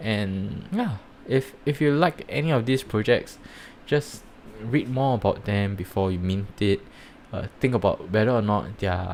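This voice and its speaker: Ordinary pitch variation in a man's fairly low voice, at a moderate pace. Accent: Singaporean. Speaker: NFT project reviewer and startup founder. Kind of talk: live stream commentary. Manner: hesitant, many fillers.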